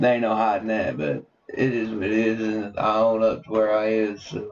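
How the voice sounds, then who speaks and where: With a Southern US accent, a man speaks at a fairly low pitch and with fairly even intonation. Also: moderate pace. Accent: rural Southern. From Tennessee. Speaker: podcast co-host. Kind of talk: casual chat.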